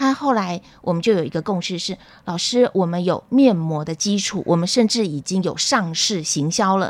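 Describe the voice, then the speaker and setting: A woman's energetic voice at medium pitch, with lively intonation and a moderate pace. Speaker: public health professor. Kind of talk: radio interview. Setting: studio.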